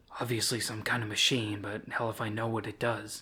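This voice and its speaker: A put-on character voice, raspy and monotone with flat intonation, moves at a fairly quick pace. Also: man, medium pitch for a man. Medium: read story. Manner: casual, disinterested.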